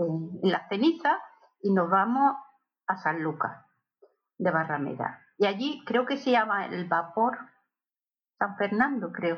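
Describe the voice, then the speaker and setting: A woman speaks at a very slow pace with long, frequent pauses, her voice somewhat breathy. Her medium pitch swings very widely. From Barcelona, Catalonia (born in Seville). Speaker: host's aunt and godmother. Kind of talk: casual family interview. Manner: halting, many repetitions.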